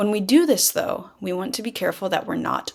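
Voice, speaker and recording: A woman speaks with vocal fry on a very clean recording with a silent background. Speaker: speech teacher. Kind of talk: lecture. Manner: varied pitch.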